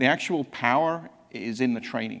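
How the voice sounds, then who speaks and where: A man with a slight English accent speaks with vocal fry and ordinary pitch variation. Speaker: technology executive presenting at a conference. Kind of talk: conference presentation. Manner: halting, with frequent repetitions.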